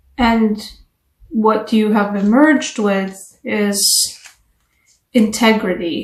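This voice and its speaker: A somewhat breathy woman's voice, fairly high in pitch, with a non-native accent and audible room echo. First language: not English. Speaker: tarot reader. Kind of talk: tarot reading. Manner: casual, conversational.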